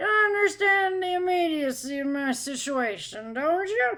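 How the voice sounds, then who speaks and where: A high-pitched, put-on character voice carries the lines. The delivery keeps a moderate pace. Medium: read story.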